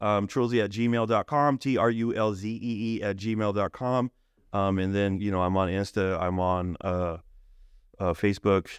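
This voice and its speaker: Over a quiet background, a man with an unremarkable speaking voice talks at a moderate pace, fairly low in pitch and fairly even in intonation. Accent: American. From California, Owens Valley (Bishop). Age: 40s. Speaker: local community figure and Facebook group admin. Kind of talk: casual interview. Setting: studio.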